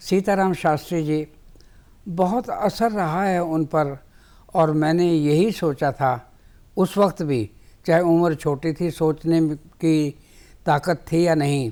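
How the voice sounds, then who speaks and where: A man speaks with a fairly high pitch and a dark, mellow tone. His pitch varies in an ordinary way, broken by long, frequent pauses. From Lahore, Punjab (pre-partition). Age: 80s+. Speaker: writer. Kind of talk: interview. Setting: studio.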